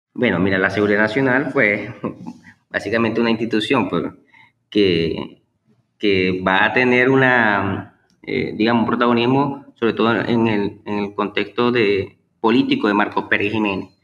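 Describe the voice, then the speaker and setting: The man's pitch sits fairly low, and his intonation is fairly even. He keeps a moderate pace. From Venezuela, Maracaibo (Zulia). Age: 30s. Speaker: historian and teacher. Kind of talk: interview. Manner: halting, many fillers.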